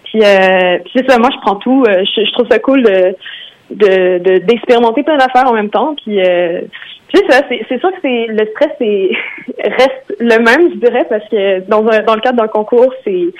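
A fairly slow, lively-sounding delivery with plenty of rise and fall, set against noticeable background noise. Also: woman, fairly high pitch for a woman. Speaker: singer-songwriter. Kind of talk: interview. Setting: phone call.

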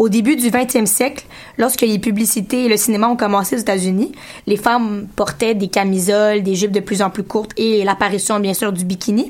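Delivered in a plain, everyday voice, the speech keeps a moderate pace and fairly even intonation. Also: woman, medium pitch for a woman. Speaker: radio columnist. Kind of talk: radio segment on community station.

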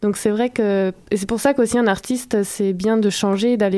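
A woman's dark, mellow voice at medium pitch moves at a moderate pace with fairly even intonation. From France. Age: 20s. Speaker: dancer and choreographer. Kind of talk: radio interview.

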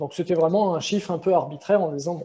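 In a high pitch and a dark, mellow tone, a man delivers his words with monotone, flat intonation. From France. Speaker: business software consultant. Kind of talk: interview.

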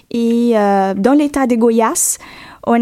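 The speaker uses ordinary pitch variation in a Portuguese accent. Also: woman. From Brazil, Goiás (Goiânia). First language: Portuguese (speaking French). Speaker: graduate student. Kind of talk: radio interview.

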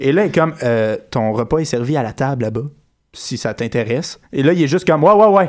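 The recording is very clean with a silent background. A man with a normal speaking voice and fairly high pitch talks fairly quickly with lively intonation. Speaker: podcast co-host. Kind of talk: casual chat.

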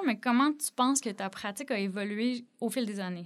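Over a very clean recording with a silent background, a woman speaks in a normal speaking voice. Her pitch is fairly high and varies an ordinary amount. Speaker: podcast host. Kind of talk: interview.

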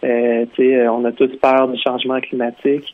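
A man with a Quebec accent at a medium pitch and moderate pace, monotone and flat, over noticeable background noise. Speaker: author. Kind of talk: interview.

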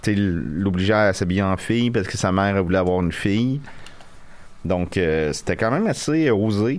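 At a moderate pace, a man with a fairly low pitch and an unremarkable speaking voice keeps his loudness very even, with ordinary pitch variation. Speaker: podcast co-host. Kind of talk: casual chat. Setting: studio.

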